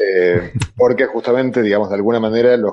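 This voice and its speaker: A man speaks fairly quickly. His delivery is flat and monotone. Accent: Argentine. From Argentina. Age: 50s. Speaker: theoretical physicist and popular science author. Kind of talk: panel discussion.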